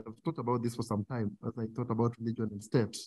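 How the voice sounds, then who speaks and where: A man speaks at a fairly quick pace, somewhat breathy. The sound is dry with no echo over a quiet background. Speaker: guest lecturer. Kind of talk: lecture. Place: hall. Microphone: podium.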